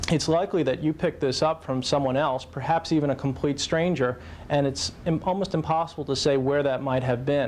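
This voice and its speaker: In a normal speaking voice, a man talks at a fairly high pitch with fairly even intonation and very even loudness. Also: fairly quick pace. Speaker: physician. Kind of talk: interview answer.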